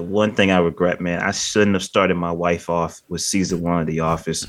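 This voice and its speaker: This man has a very deep, low voice. He speaks with an American accent. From Michigan. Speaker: podcast host, film reviewer. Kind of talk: casual chat.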